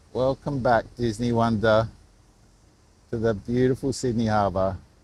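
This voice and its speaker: A man speaks in an Australian accent at a medium pitch. His intonation stays fairly even. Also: moderate pace. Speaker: live stream vlogger. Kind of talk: live stream commentary. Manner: quiet, subdued.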